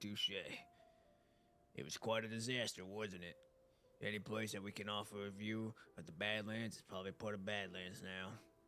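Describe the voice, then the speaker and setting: A man puts on a raspy character voice at a fairly low pitch with monotone, flat intonation. He keeps a moderate pace with long, frequent pauses. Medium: read story.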